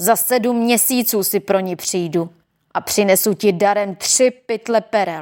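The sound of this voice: An unforced reading voice, with ordinary pitch variation, comes through over a quiet background.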